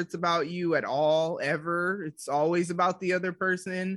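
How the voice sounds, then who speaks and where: On a very clean recording with a silent background, a woman with a fairly low pitch speaks at a moderate pace in an animated tone. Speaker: entrepreneur and podcaster. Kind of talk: casual interview chat. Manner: animated, frequent laughter.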